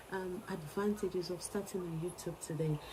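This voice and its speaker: A woman is heard with noticeable background noise behind her. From Nigeria. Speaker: early childhood educator and YouTuber. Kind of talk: vlog monologue. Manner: animated.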